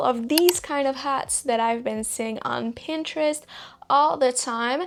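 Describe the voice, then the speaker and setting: With a slight French accent, a woman talks at a moderate pace in a high pitch with lively intonation. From Belgium. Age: 20s. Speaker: crochet content creator. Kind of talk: tutorial.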